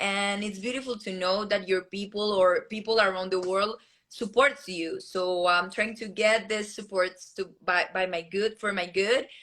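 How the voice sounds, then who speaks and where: A woman's bright, sharp voice with a Colombian accent, medium in pitch, with fairly even intonation and hardly any pauses. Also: fairly slow pace. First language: Spanish. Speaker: beauty pageant contestant. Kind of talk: interview. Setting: live video stream. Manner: halting.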